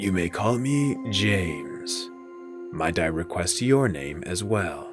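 Clear music plays behind a man doing a breathy put-on character voice with a very deep, low pitch at a fairly slow pace. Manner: confident, courtly.

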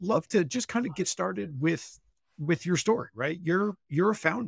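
In a dry, close sound with no echo, a man with an ordinary speaking voice talks at a fairly quick pace with lively intonation. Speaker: podcast co-host. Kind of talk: podcast interview.

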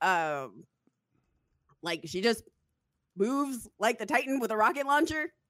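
Loud and fairly slow, a woman speaks with very wide pitch swings and long, frequent pauses. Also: fairly high pitch for a woman. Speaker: podcast host. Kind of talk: casual chat.

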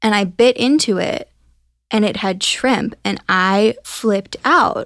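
A woman's medium-pitched voice with a Midwestern American accent, ordinary pitch variation, and a very clean recording over a silent background. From US Midwest, Ohio. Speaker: podcast producer. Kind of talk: casual chat.

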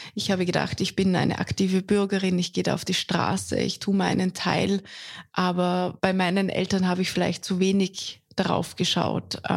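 A flat, monotone delivery at a moderate pace, with a slight Austrian accent and very even loudness. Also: woman, medium pitch for a woman. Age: 30s. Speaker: foreign correspondent. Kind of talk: interview.

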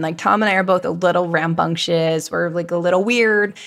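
Here is a woman with an ordinary speaking voice, fairly low in pitch with ordinary pitch variation. The recording is very clean, with a silent background. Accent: American. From Virginia. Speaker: candle company co-founder. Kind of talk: interview conversation.

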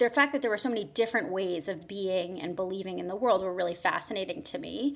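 A woman with an American accent, medium pitch, lively intonation and a very fast pace. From southern Connecticut, Fairfield County. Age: 30s. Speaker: writer. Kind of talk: interview testimony.

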